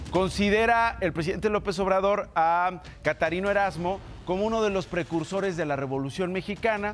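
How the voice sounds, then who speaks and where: Against a quiet background, a woman talks at a fairly quick pace, with medium pitch, ordinary pitch variation and very even loudness. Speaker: radio news commentator. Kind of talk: opinionated news commentary. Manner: animated, joking.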